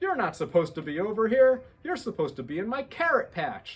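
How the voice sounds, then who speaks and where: A man puts on a character voice, raised and projected at a high pitch with very wide pitch swings. He talks at a fairly quick pace. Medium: read story.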